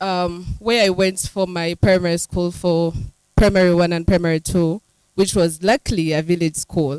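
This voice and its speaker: With a Ugandan accent, a woman speaks at a moderate pace in a fairly low pitch with fairly even intonation. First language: Runyankole. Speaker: writer. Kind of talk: panel discussion.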